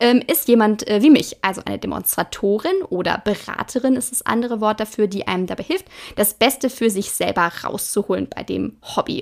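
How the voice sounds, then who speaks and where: Using an ordinary speaking voice, a woman with fairly high pitch and lively intonation talks at a moderate pace. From Ruhr area, Germany (Hagen). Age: 20s. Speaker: craft podcaster and product demonstrator. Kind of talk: casual tutorial-style monologue. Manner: chatty, informal, with fillers.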